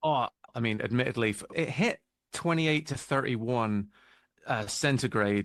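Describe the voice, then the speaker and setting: This man speaks with a British accent at a moderate pace. His pitch is medium, with ordinary variation. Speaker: album cover artist. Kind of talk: interview.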